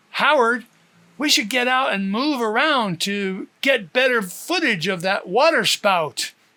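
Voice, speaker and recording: Loud, fairly high-pitched put-on character voice on a very clean recording with a silent background. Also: fairly slow pace. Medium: read story. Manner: loud over the wind.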